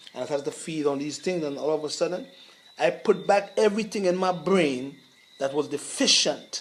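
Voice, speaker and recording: Over noticeable background noise, a man speaks at a fairly quick pace. His pitch is high. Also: ordinary pitch variation. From Grenada. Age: 60s. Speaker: herbalist. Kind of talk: interview. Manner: halting.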